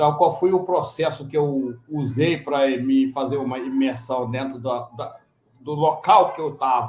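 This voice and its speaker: This man talks at a fairly slow pace with a medium pitch and fairly even intonation. His loudness swings widely. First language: non-Portuguese (Senegalese languages/French) (speaking Portuguese). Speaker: conference panelist, immigrant parent. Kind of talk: panel discussion.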